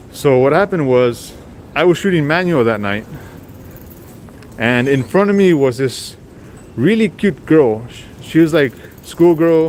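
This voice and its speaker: Over noticeable background noise, a man with an American accent speaks at a fairly high pitch and a fairly slow pace, with lively intonation and long, frequent pauses. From Texas, Rio Grande Valley. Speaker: street photographer and streamer. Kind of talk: live stream walking vlog. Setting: outdoors on city streets.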